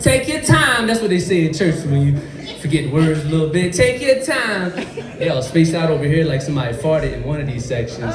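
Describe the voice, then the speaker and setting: Noticeable background noise fills the clip. Over it, a man talks. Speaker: stand-up comedian. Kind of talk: stand-up comedy routine. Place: stage. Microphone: pa.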